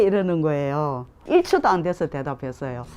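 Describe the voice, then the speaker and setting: Animated speech from a woman at a moderate pace, with noticeable background noise. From South Korea, Gyeongsang (Tongyeong). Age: 60s. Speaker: framing craftsperson. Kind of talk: oral history interview. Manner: animated storytelling.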